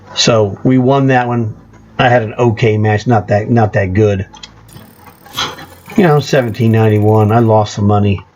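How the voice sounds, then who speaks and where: A fairly low-pitched male voice at a moderate pace, with fairly even intonation and noticeable background noise. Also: long, frequent pauses. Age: 60s. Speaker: gaming youtuber. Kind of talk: gameplay commentary.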